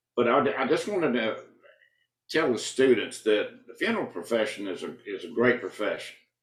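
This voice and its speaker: A man at medium pitch and a fairly quick pace. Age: 70s. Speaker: county coroner. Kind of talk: interview. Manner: halting, frequent fillers.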